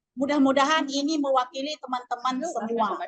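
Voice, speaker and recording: A woman with a Lampung accent speaks at a fairly quick pace in a high pitch. Her tone is bright and sharp, with ordinary pitch variation. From Lampung, Indonesia. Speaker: migrant worker. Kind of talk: audience testimony. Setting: workshop with audience.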